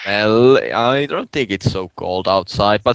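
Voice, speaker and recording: With a Finnish accent, a man speaks at a fairly low pitch with ordinary pitch variation. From Finland, Turku. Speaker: podcast co-host, gamer. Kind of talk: casual chat.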